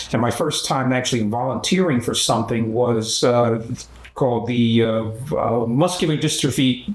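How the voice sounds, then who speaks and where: A man with an American accent speaks at a moderate pace and a medium pitch, with lively intonation. Audible room echo and noticeable background noise are in the recording. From US Northeast, Philadelphia. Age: 70s. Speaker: human rights activist. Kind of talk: documentary interview. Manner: halting, many fillers.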